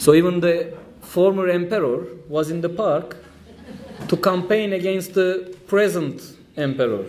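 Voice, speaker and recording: A man with a Turkish accent at a high pitch, ordinary pitch variation, a fairly slow pace, long, frequent pauses, audible room echo, and noticeable background noise. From Turkey. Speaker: trade union official. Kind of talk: conference speech. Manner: halting.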